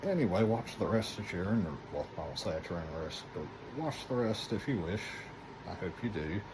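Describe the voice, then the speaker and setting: A soft-spoken man talks fairly quickly with a fairly low pitch and lively intonation. Audible room echo is present. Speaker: gaming YouTuber. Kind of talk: casual video intro; casual gameplay commentary.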